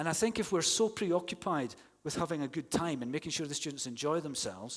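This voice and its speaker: In a Scottish accent, a man talks at a very fast pace with a fairly high pitch. His tone is animated and his intonation lively. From Scotland. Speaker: university English teaching academic. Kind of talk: conference plenary talk. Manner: conversational, animated.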